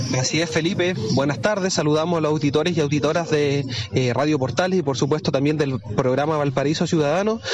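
A man with a fairly high pitch races along at a very fast pace, with hardly any pauses, ordinary pitch variation and very even loudness. Noticeable background noise sits behind him. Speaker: field reporter. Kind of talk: live field report. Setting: outdoors at a market.

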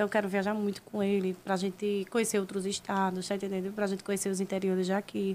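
A woman speaks at a very fast pace with a medium pitch. The recording is very clean, with a silent background. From Brazil, Maceió, Alagoas. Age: 20s. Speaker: social media personality. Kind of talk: casual chat.

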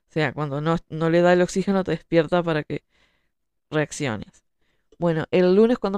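Over a quiet background, a woman with a normal speaking voice talks at a fairly quick pace in a fairly low pitch, in a dry, close sound with no echo. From Uruguay. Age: 30s. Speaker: writer. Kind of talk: monologue talk show.

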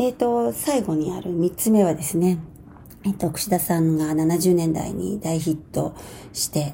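A woman with a plain, everyday voice, fairly low in pitch, speaks at a moderate pace with ordinary pitch variation. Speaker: dancer and choreographer. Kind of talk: radio monologue.

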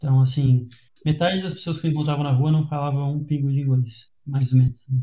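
A man talks at a fairly quick pace and a fairly high pitch. His somewhat breathy voice has a dark, mellow tone and fairly even intonation. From Brazil. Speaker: podcast host. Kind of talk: casual chat.

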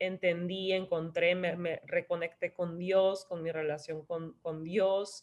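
A woman with a fairly low pitch talks at a very slow pace in a monotone, flat intonation. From Tijuana, Mexico, raised in San Diego. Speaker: wellness influencer and health coach. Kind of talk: casual interview.

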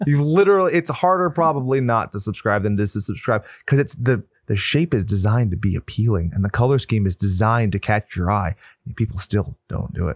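Very fast and lively in intonation, a man speaks at a fairly low pitch. The recording is very clean with a silent background and a dry, close sound with no echo. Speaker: horror podcast co-host. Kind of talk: casual chat.

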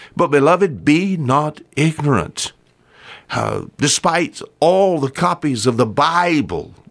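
A man speaks with a Southern US accent and some vocal fry. His pitch sits in the medium range. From US South. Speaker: radio preacher. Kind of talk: sermon.

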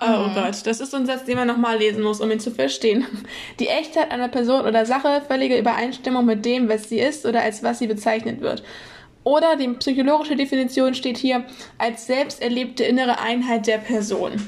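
A woman with a high voice and fairly even intonation talks over noticeable background noise. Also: fairly quick pace. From northern Germany, Kiel. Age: 20s. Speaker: podcast co-host. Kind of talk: casual chat.

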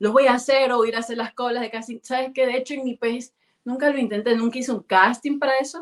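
Her pitch high, a woman moves through her words at a fairly quick pace. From Ecuador, Guayaquil. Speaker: singer. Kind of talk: interview. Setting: video call. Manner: halting.

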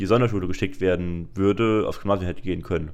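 A very deep, low male voice with fairly even intonation. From Germany, Saarland. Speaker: student podcaster. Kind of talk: casual chat. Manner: halting.

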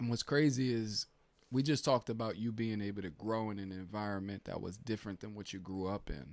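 A man with an unremarkable speaking voice, fairly low pitch, ordinary pitch variation and a fairly quick pace. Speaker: podcast host. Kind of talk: casual chat. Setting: church office.

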